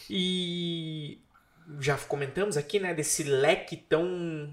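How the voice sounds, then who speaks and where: A man speaks in a somewhat breathy voice. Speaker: podcast host. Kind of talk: interview, casual and polite. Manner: warm, friendly, chatty.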